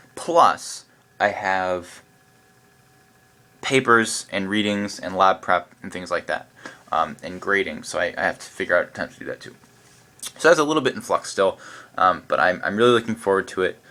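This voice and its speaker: Big swings in loudness and long, frequent pauses from a man. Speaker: university student vlogger. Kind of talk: casual vlog. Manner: fast; animated.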